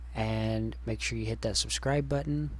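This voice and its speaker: Ordinary pitch variation and a moderate pace mark this man's very deep, low, somewhat breathy voice. Audible room echo surrounds him. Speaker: programming tutor. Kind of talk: tutorial. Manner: soft-spoken; hesitant.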